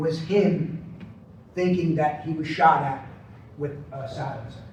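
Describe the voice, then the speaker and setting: Speaking at a very slow pace, a man with a high voice and ordinary pitch variation is heard with audible room echo and noticeable background noise. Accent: American. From Long Island, New York. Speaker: conference speaker on persuasion. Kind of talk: conference presentation. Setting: stage with audience. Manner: conversational, many fillers and false starts.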